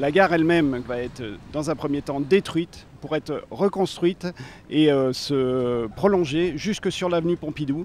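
A man speaks at a fairly slow pace with a fairly high pitch and ordinary pitch variation. The sound is dry with no echo, over light background noise. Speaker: railway project manager interviewed. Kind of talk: explanatory interview soundbite. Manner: halting, hesitant, with repeats and fillers. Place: station. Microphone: handheld.

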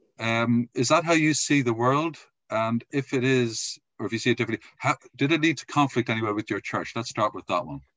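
Against a quiet background, a man speaks at a fairly quick pace in an Irish accent. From Ireland. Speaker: podcast host; podcast interviewer. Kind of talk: interview. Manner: halting. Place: home room. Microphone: video call.

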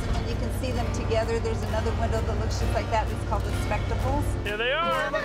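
A woman at a fairly quick pace over loud music in the background. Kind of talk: casual conversation. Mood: happy, nostalgic. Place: car. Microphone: lapel.

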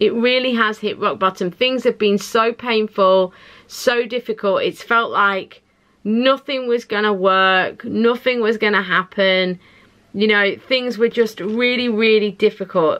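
A woman reads at a fairly slow pace with fairly even intonation and very even loudness against a quiet background. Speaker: tarot reader. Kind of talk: pick-a-card reading, casual direct address. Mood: reassuring, warm, some laughter. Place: home room.

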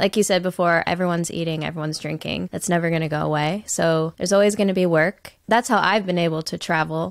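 A woman with an American accent, fairly low in pitch, at a fairly quick pace, animated and bubbly in tone, over a quiet background with dry sound and no echo. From United States. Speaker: podcast host. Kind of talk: casual interview chat. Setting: video call. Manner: animated, bubbly. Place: home room. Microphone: studio mic.

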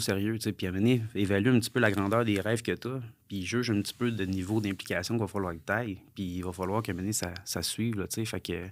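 Speaking very fast, a man uses a fairly low pitch. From Quebec, Sherbrooke; Quebec. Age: 30s. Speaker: entrepreneur, former pro fighter; podcast guest. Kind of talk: podcast interview. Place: studio. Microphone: studio mic.

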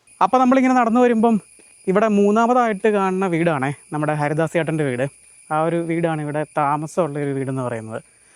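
The man's voice sits high in pitch. It swings very widely from low to high. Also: dry, close sound with no echo. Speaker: travel vlogger. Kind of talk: vlog narration. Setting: outdoors.

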